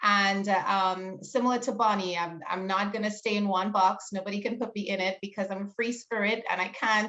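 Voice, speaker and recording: A woman with a Trinidadian accent at a medium pitch, with fairly even intonation and a fairly quick pace. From Trinidad and Tobago. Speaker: small business owner and teacher. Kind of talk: panel discussion.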